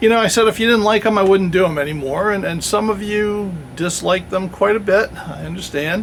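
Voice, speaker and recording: Against noticeable background noise, a man talks in a high voice. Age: 60s. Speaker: YouTuber reviewing historical firearms and swords. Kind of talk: channel update talk to camera. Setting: outdoors in woods. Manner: casual, with many fillers.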